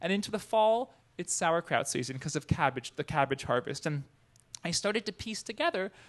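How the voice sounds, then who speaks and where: Speaking at a fairly quick pace in an American accent, a man with a high pitch is heard in a dry, close sound with no echo. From northern New Jersey. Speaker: food entrepreneur and cookbook author. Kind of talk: talk to an audience.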